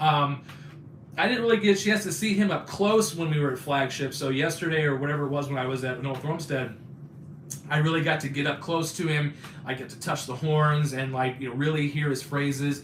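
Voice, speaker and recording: A man's fairly high voice at a fairly quick pace, ordinary pitch variation, audible room echo and noticeable background noise. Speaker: YouTuber live streamer. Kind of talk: casual chat. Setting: live stream. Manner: fast; halting.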